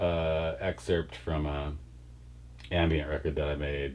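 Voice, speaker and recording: A man speaks with an American accent in a very deep, low pitch at a fairly slow pace. His intonation is fairly even, and audible room echo surrounds the voice. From Wisconsin. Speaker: rock band singer. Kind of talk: interview. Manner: casual, hesitant with fillers.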